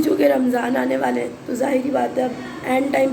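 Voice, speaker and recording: A woman with a high voice speaks at a moderate pace. The room echo is audible, and there is noticeable background noise. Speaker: vlogger. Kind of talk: casual vlog.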